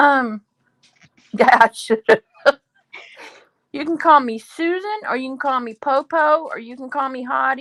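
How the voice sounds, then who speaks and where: With a Louisiana accent, a woman talks at a high pitch and a fairly slow pace, leaving long, frequent pauses. Her loudness swings widely, and the sound is dry and close with no echo. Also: ordinary pitch variation. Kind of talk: casual chat.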